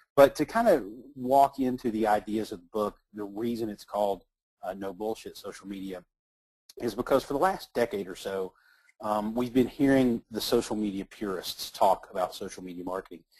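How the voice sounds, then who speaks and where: A man with a slight Southern accent speaks at a moderate pace and a fairly low pitch, showing ordinary pitch variation and big swings in loudness. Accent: slight southern twang. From Kentucky, US South. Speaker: author and social media marketing speaker. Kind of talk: webinar presentation. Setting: webinar, online call. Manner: halting, many fillers.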